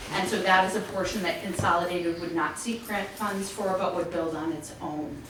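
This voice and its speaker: Fairly even intonation amid noticeable background noise and audible room echo. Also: woman. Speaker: telecom company executive presenting to town board. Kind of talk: public presentation at town meeting. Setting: town selectboard meeting room. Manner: fast; hesitant fillers (um).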